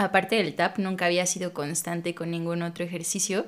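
A woman speaks over noticeable background noise. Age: 30s. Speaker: pole dance instructor and studio owner. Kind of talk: casual interview chat.

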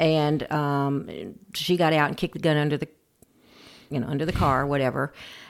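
In an American accent, the speaker talks at a fairly quick pace with long, frequent pauses and a monotone, flat intonation. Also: woman, very deep, low pitch for a woman. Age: 60s. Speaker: grandparent raising grandchildren. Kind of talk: interview, personal story.

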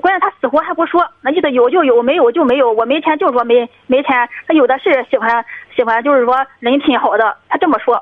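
A woman talks very fast in a high voice, her pitch varying in an ordinary way. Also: very even loudness. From Shandong, Dezhou. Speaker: caller seeking advice about her brother. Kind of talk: radio call-in conversation. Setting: phone call.

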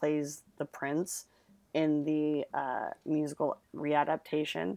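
A woman's very deep, low voice comes through dry and close with no echo on a very clean recording with a silent background. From Italian-American family. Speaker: returning podcast guest. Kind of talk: casual chat. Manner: animated.

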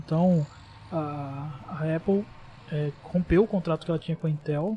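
A man talks at a moderate pace and with ordinary pitch variation, noticeable background noise behind him. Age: 20s. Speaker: computer engineering student explaining tech. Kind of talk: casual chat.

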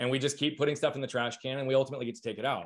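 A man speaks loudly at a fairly high pitch. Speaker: business consultant and leadership speaker. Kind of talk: casual interview conversation. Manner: fast talker, loud.

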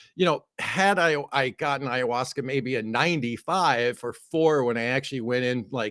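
This is an unremarkable speaking voice from a man, medium in pitch with ordinary pitch variation. The sound is dry and close, with no echo. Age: 50s. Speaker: author and multimedia artist. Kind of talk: casual interview chat.

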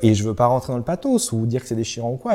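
Recorded very cleanly with a silent background, a man speaks at a medium pitch in a dark, mellow tone. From central France (Loiret). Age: 20s. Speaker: startup founder. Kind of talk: interview. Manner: hesitant with fillers and repetitions.

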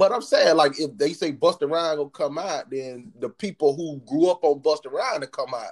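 In an ordinary speaking voice with an American accent, a man talks at a fairly high pitch and a moderate pace, with hardly any pauses, ordinary pitch variation, and a dry, close sound with no echo. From US South. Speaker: podcast co-host. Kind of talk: casual chat.

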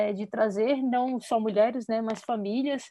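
A woman with a plain, everyday voice speaks at a fairly slow pace, her pitch fairly high with ordinary pitch variation. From Brasília, Brazil. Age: 30s. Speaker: football player and coach. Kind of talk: casual chat.

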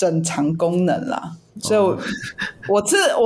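A woman with a medium-pitched voice speaks very slowly. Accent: Taiwanese. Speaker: podcast co-host. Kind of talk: casual chat.

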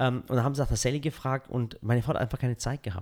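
A man with a Swabian accent, very fast pace and fairly even intonation, on a very clean recording with a silent background. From Swabia, Swabian Jura (Balingen area). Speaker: content creator and podcast guest. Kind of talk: casual interview chat. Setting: on location, not studio.

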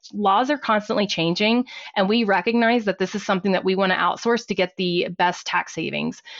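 A normal speaking voice from a woman with an American accent, medium in pitch, fairly even in intonation and fairly quick in pace. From Texas, Fort Worth. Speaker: accountant and small business owner. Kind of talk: interview.

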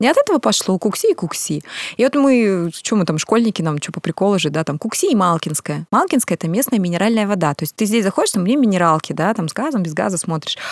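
Very fast speech from a woman at medium pitch, with noticeable background noise. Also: dry, close sound with no echo. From Russian Far East, Kamchatka. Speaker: event organizer and singer. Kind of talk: casual chat.

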